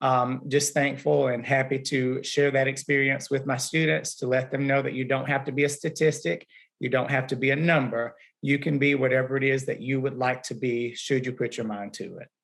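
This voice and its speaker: A man with a Southern US accent, medium pitch and fairly even intonation. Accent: Southern drawl. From Alabama. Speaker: music teacher. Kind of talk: panel discussion.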